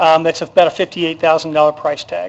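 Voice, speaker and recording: The speaker is male. He talks with a high pitch. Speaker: city parks and events staff member. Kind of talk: council meeting presentation. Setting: city council chamber. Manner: halting, many fillers.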